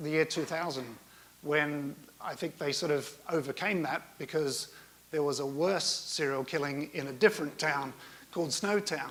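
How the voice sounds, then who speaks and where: Moderate pace over noticeable background noise. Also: man. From South Australia. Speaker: conference speaker. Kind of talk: conference talk. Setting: stage with audience. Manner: hesitant, many fillers.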